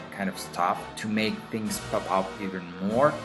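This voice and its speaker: Fairly slow speech with a non-native accent over music in the background. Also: man. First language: Spanish. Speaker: digital artist. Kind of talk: drawing tutorial voice-over.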